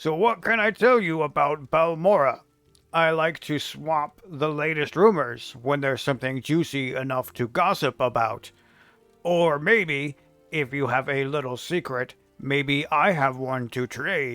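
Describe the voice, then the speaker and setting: A man uses a put-on character voice at a fairly high pitch. He speaks at a moderate pace with faint music in the background. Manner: gossipy, then curt.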